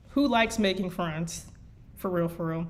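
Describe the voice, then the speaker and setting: A woman speaks with a Midwestern American accent. Room echo is audible. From US Midwest. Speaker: fanfiction writer and streamer. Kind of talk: reading aloud. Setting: live stream. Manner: halting.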